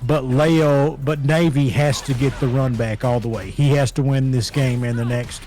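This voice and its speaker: A man with a strong Southern US accent, fairly even in intonation, over noticeable background noise. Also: medium pitch for a man, moderate pace, hardly any pauses. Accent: thick southern. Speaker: esports commentator. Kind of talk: live commentary. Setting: home.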